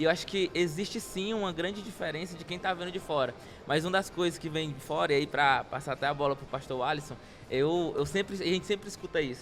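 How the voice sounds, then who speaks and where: A man's very fast speech at a high pitch, with ordinary pitch variation and music in the background. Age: 20s. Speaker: social project founder. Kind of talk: interview.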